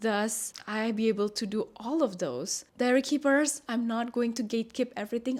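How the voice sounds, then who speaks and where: A woman's fairly high voice with a non-native accent, fairly even intonation and a moderate pace. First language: not English. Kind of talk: casual vlog talk to camera.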